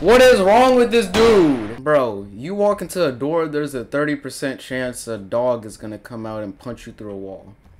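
A shouting man with a fairly high pitch, animated tone and very wide pitch swings, big swings in loudness, a moderate pace with hardly any pauses, and light background noise. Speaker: gaming youtuber. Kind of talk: casual gameplay commentary. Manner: animated, reacting with shouts. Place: home room.

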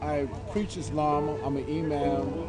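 A man's voice over loud background music. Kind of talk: street preaching / interview answer. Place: open country.

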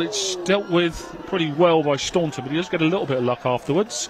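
A man with a high voice talks at a fairly quick pace and ordinary pitch variation, in a dry sound with no echo against noticeable background noise. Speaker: match commentator. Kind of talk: live match commentary. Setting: live at football ground. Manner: rapid-fire, excitable play-by-play with exclamations; conversational, with co-commentator banter. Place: stadium.

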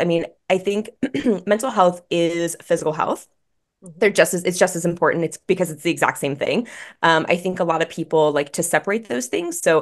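The speaker talks at a fairly quick pace with ordinary pitch variation. The background is quiet. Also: woman. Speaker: guest. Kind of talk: interview answer. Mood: warm, upbeat. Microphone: video call.

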